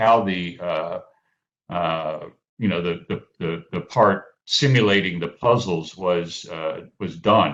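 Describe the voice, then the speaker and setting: The voice makes very wide pitch swings. The background is quiet. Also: man. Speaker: economist, paper discussant. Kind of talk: academic conference discussion. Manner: halting, many fillers and repetitions.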